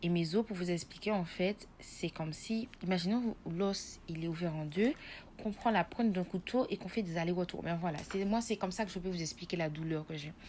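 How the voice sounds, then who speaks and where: A woman with an unremarkable speaking voice, fairly low pitch, ordinary pitch variation and a fairly quick pace. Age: 20s. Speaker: nursing student giving patient testimony. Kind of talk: testimony.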